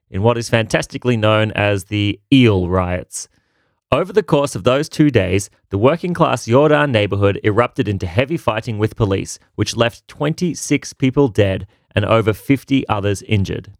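An ordinary speaking voice with lively intonation at a moderate pace, dry and close with no echo, on a very clean recording with a silent background. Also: man, fairly low pitch for a man. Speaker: history co-host. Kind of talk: scripted historical narration. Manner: lively, wry, mock-comradely.

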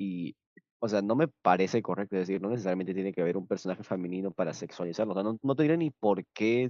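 The sound is dry and close with no echo and a quiet background as a man with a normal speaking voice talks at a fairly low pitch with ordinary pitch variation. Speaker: film podcast host. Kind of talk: casual chat. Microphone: moved microphone after technical problems.

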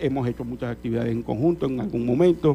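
His pitch shows ordinary variation. The man's delivery is very fast. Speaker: journalist and service club director. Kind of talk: radio interview. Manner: halting, many fillers.

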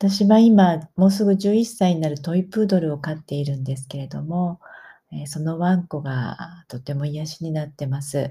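Pitched very deep and low, a woman talks at a moderate pace in a dark, mellow, somewhat breathy tone with ordinary pitch variation and big swings in loudness. The recording is very clean, with a silent background. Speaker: podcaster. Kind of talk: casual monologue. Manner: hesitant with fillers.

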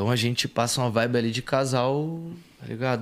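A man speaks at a moderate pace in a normal speaking voice, medium in pitch with ordinary pitch variation, on a very clean recording with a silent background. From Rio de Janeiro, Brazil. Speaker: rap singer. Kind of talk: casual interview chat.

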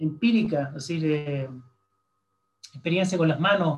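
Using ordinary pitch variation, a man speaks with a high pitch. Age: 60s. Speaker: astronomer. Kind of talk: interview.

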